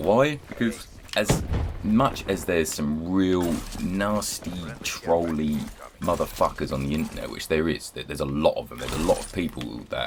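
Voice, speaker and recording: A man speaks with a British accent. Background noise is noticeable. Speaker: gaming YouTuber. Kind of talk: casual commentary over gameplay.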